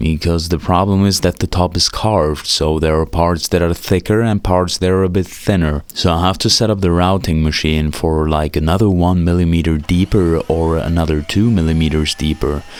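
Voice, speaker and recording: A man with a non-native accent speaks in a very deep, low pitch at a moderate pace. His intonation is fairly even, his loudness very even, and there are hardly any pauses. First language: not English. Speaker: guitar gear reviewer. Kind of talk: tutorial voice-over. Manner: casual.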